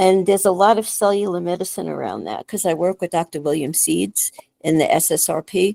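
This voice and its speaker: In a New York accent, a woman with a medium pitch and a dark, mellow tone speaks with vocal fry and fairly even intonation, the sound dry and close with no echo. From New York City. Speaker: functional medicine doctor. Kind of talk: casual chat.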